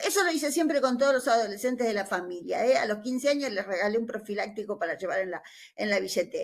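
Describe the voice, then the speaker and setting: A woman's fairly high voice in a Rioplatense accent, very fast in pace and lively in intonation. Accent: Argentine Rioplatense Spanish. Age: 60s. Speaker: nursing teacher. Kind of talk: conference discussion remarks. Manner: halting, many fillers; conversational.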